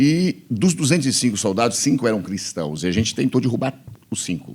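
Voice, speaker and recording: A man talks at a fairly quick pace with a fairly low pitch and vocal fry. His pitch swings very widely. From Bahia, Brazil. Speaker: pastor. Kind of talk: interview testimony. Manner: casual, conversational.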